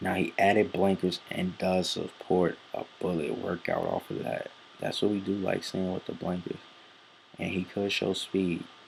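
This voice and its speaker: Speaking at a moderate pace, the man has a soft-spoken delivery. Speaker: horse racing handicapper. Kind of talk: handicapping tutorial. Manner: halting, many fillers.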